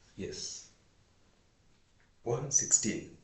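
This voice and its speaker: A man talks with a Kenyan accent. Room echo is audible. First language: Swahili. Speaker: vlogger. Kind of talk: casual monologue. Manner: halting.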